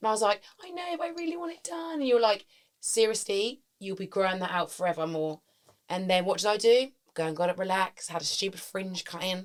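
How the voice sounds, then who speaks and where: A woman with a British accent at medium pitch, very fast, with very wide pitch swings and big swings in loudness. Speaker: podcast co-host. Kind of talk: casual chat.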